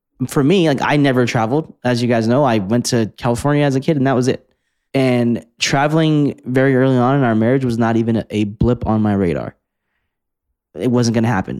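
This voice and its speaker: A man's unremarkable speaking voice, medium-pitched with ordinary pitch variation and very even loudness, at a fairly quick pace on a very clean recording with a silent background. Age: 20s. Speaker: podcast co-host. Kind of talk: casual chat.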